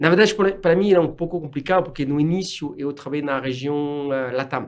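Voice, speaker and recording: A man talks at a fairly quick pace with a French accent. His pitch is fairly high, with ordinary variation. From France. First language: French (speaking Portuguese). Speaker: corporate executive. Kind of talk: casual interview. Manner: halting.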